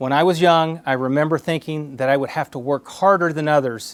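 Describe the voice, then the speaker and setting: A man with an American accent has a normal speaking voice at a fairly high pitch. He talks at a moderate pace with ordinary pitch variation. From Oklahoma, US (Cuban-born). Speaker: zoo director, association board chair. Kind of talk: prepared speech. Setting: office, recorded for online conference.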